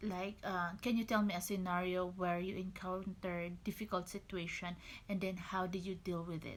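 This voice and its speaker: A woman with a strong Filipino accent speaks at a fairly slow pace. Her medium-pitched voice stays monotone and flat. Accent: Filipino, thick. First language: Tagalog. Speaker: registered nurse. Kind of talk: tutorial. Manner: casual, hesitant.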